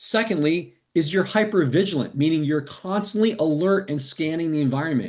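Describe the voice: At a moderate pace, a man speaks with a fairly high pitch, a slightly mellow tone and ordinary pitch variation.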